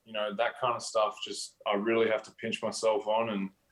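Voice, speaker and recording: A man with an Australian accent speaks at a moderate pace in a medium pitch. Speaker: professional basketball player. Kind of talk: interview. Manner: hesitant, many fillers.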